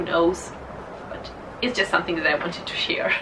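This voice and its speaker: A woman with a Russian accent speaks with lively intonation, with audible room echo and noticeable background noise. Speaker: book vlogger. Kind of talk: casual vlog monologue.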